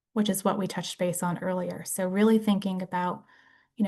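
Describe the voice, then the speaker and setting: Somewhat breathy and at a moderate pace, the speech keeps fairly even intonation against a quiet background. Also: woman. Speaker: brain injury case manager and presenter. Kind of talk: lecture.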